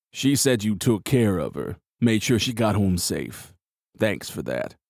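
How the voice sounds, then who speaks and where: A man puts on a character voice at a fairly low pitch, with lively intonation. He goes at a fairly slow pace on a very clean recording with a silent background. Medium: read story. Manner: gruff.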